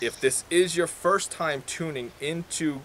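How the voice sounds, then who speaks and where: A man's fairly high voice with an American accent, over noticeable background noise. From New York. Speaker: whiskey reviewer. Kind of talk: casual review chat.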